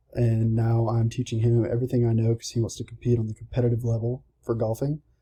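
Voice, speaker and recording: A man with a Southern US accent speaks at medium pitch and a fairly quick pace, his tone dark, mellow and somewhat breathy. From US South, Georgia. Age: 20s. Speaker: college student. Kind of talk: self-introduction speech. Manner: casual, slightly halting.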